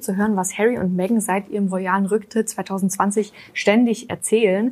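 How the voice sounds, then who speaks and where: A woman talks in a normal speaking voice at medium pitch. Her intonation stays fairly even. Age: 20s. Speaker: royals expert, journalist. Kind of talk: casual chat.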